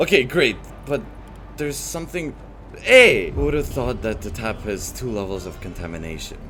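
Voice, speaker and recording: A man at a moderate pace, with big swings in loudness, audible room echo and music in the background. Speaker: voice-over translator of gaming videos. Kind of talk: gameplay commentary.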